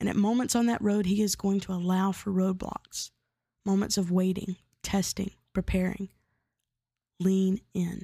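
A woman speaks in a dark, mellow, somewhat breathy tone at a moderate pace, her intonation flat and monotone. The sound is dry and close with no echo, broken by long, frequent pauses. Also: medium pitch for a woman. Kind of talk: devotional teaching monologue. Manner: casual with fillers.

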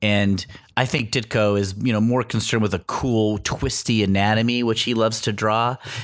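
An unforced voice reading aloud, its intonation fairly even.

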